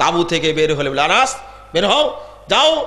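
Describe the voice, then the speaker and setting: The voice is raised and projected, with very wide pitch swings. Noticeable background noise and audible room echo surround it. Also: man. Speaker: Islamic preacher. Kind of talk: sermon. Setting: religious gathering with audience. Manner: animated.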